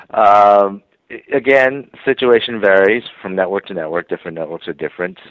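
A plain, everyday voice from a man with an American accent, fairly low in pitch, with ordinary pitch variation, moderate pace and big swings in loudness. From New York City and suburban New Jersey. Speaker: TV writer and producer. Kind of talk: interview.

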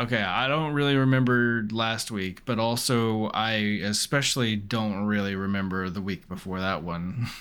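At a moderate pace, a man speaks in an ordinary speaking voice, fairly low in pitch with ordinary pitch variation. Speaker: podcast co-host. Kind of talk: casual banter, podcast chat. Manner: rambling, filler words.

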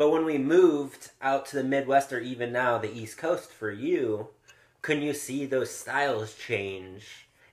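A man with a plain, everyday voice and an American accent speaks at medium pitch and a fairly slow pace, with ordinary pitch variation. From Southern California. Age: 30s. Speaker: podcast host, photographer. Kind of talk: casual interview.

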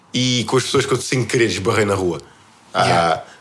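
Medium-pitched male voice amid noticeable background noise. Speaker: podcast co-host. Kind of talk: casual chat.

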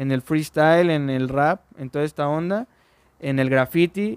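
A fairly high-pitched man with ordinary pitch variation, an unremarkable speaking voice, sounds dry and close with no echo. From Mexico, Orizaba, Veracruz. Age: 20s. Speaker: singer-songwriter. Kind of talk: casual chat.

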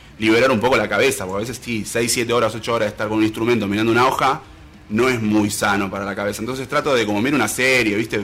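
Very fast speech from a man at a medium pitch with fairly even intonation and music in the background. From Salta, Argentina. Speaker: musician and guitar teacher. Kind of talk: casual interview.

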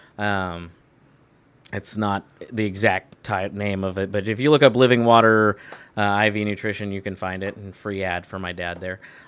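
This man has an ordinary speaking voice, a fairly low pitch and a moderate pace. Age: 30s. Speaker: podcast host, security guard, ordained minister. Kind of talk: casual chat.

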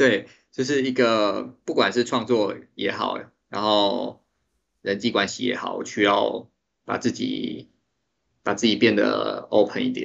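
This man talks at a very slow pace, leaving long, frequent pauses. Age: 30s. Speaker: 3D artist and designer. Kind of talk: interview.

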